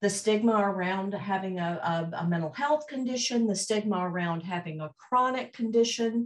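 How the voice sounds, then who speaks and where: A woman with a slight Southern US accent talks at a moderate pace. Her voice is somewhat breathy, and her intonation is lively. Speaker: mental health organization executive. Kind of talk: conference presentation.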